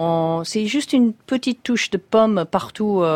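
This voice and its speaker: A woman speaks at a fairly slow pace. The recording is very clean and dry, close with no echo, over a silent background. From US, Syracuse, New York State. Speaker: chef. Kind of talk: radio interview. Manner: hesitant.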